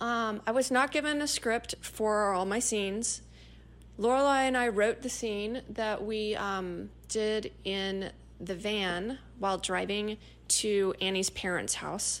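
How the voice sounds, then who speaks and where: In an unremarkable speaking voice of medium pitch, a woman speaks at a fairly slow pace with ordinary pitch variation, recorded very cleanly against a silent background. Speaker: podcast host and actress. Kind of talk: casual solo podcast storytelling.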